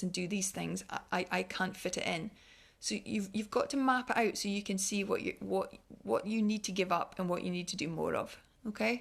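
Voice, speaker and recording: Speaking at a fairly quick pace, a woman talks in a Scottish accent. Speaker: wellness speaker. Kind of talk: online talk. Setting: online livestream. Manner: fast; halting.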